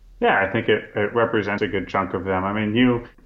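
This man's voice sits at a fairly low pitch. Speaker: food company founder. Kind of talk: interview. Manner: hesitant with fillers.

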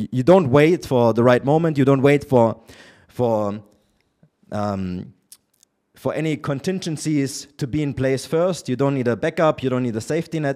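In a very clean recording with a silent background, a man with a German accent speaks at a moderate pace, his fairly high voice dark and mellow, with ordinary pitch variation. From Germany. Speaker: entrepreneur and relationship commentator. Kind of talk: casual interview. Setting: in person. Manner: opinionated.

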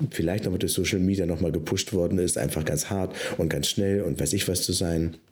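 Noticeable noise sits in the background while the words come at a medium speed. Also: man. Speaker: pastor and podcast co-host. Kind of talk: casual chat.

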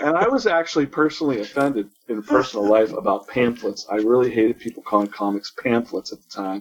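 The speech races at a very fast pace with hardly any pauses and ordinary pitch variation. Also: man, medium pitch for a man. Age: 40s. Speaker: webcomic artist. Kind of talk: casual chat.

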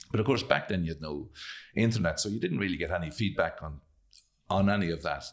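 A man in a Leitrim Irish accent speaks at a very fast pace broken by long, frequent pauses, with a very deep, low pitch and ordinary pitch variation. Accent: Irish (Leitrim, north midlands). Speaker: actor and playwright. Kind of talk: interview. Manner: halting.

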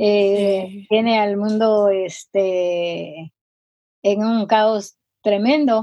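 A woman at a medium pitch, very slow in pace, fairly even in intonation, with big swings in loudness. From Guatemala. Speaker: missionary and healing minister. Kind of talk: interview testimony. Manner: halting, many fillers.

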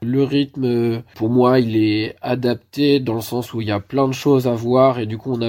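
At a fairly slow pace, a man speaks with a medium pitch and a monotone, flat intonation. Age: 20s. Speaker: youth leisure centre worker, apprentice. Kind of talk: remote interview. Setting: remote call.

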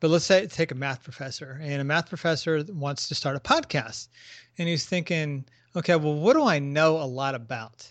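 Pitched fairly high, this man's voice rises and falls in an ordinary way. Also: moderate pace. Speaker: podcast co-host, guest. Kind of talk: casual interview. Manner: enthusiastic, hesitant with fillers.

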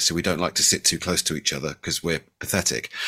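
On a very clean recording with a silent background, a man with a West Country accent talks at a very fast pace in a bright, sharp tone with vocal fry. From Bristol, England. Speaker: home theater designer. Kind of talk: casual chat.

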